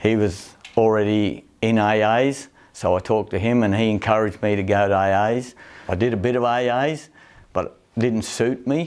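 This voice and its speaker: This man has a strong Australian accent and a medium pitch. He keeps a moderate pace, fairly even intonation and very even loudness. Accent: broad Australian. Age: 60s. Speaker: recovering alcoholic and rodeo rider. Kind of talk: documentary interview testimony.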